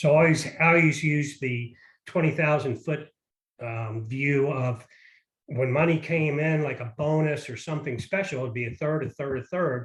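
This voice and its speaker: A somewhat breathy man's voice, fairly high in pitch, at a moderate pace with fairly even intonation. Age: 60s. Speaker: parent sharing money advice. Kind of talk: casual interview.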